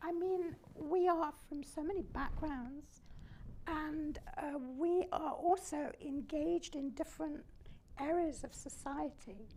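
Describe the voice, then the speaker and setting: A woman's high-pitched voice at a very slow pace, with ordinary pitch variation and audible room echo. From Germany. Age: 90s. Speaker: Holocaust survivor. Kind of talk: fireside chat. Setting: stage with audience.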